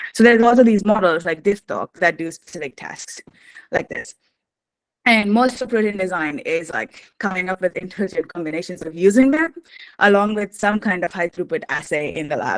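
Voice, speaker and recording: A woman at a medium pitch and a fairly quick pace, with lively intonation in a dry, close sound with no echo. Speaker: protein design instructor. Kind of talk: lecture. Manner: fast.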